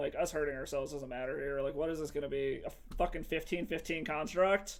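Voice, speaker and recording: This man talks at a very fast pace. His pitch is fairly high, with ordinary variation. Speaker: MTG streamer. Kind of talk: live game commentary. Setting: home stream. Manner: loud.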